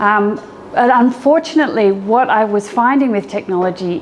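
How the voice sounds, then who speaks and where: Against noticeable background noise, a woman with an Australian accent talks at a moderate pace with ordinary pitch variation. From Australia, Sydney. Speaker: educator and app founder. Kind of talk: meetup talk. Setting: meetup audience.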